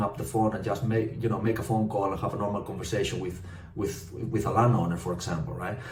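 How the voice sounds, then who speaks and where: Talking at a very fast pace, a man speaks with a Spanish accent. His medium pitch carries fairly even intonation. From northwest Spain. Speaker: property developer. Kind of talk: casual talk to camera. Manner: hesitant, many fillers.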